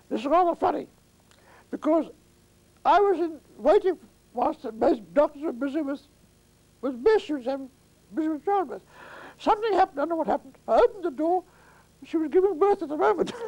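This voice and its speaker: A man speaks very fast at an extremely high pitch, with lively intonation and long, frequent pauses. The sound is dry and close, with no echo. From Latvia. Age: 80s+. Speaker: retired attorney. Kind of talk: interview answer. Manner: hesitant, reminiscing.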